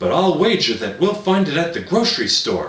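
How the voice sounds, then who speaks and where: A man puts on a character voice pitched high for a man. There is a slight echo. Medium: read story.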